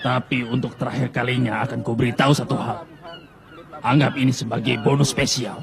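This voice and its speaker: Over clear background noise, a man puts on a gruff character voice of medium pitch, speaking at a moderate pace with monotone, flat intonation. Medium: fan dub. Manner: gruff, lecturing.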